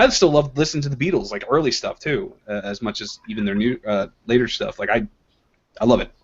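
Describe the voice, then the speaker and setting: A man with an unremarkable speaking voice and lively intonation. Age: 20s. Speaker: comic artist. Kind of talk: casual chat.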